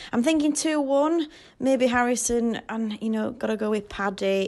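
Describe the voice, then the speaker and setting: With a Yorkshire accent, a woman speaks fairly slowly in a fairly high pitch with ordinary pitch variation. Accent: Yorkshire, posh-sounding. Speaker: football fan guest predictor. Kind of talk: voice note.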